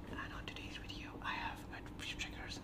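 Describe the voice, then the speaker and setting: The talk moves at a moderate pace over loud background noise. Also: man. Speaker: ASMR creator. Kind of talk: casual talk to camera, intro. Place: home room. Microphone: phone near.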